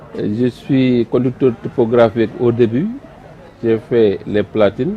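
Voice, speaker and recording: A man talks very slowly with fairly even intonation while background noise is noticeable. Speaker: retired print production manager. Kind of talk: testimony.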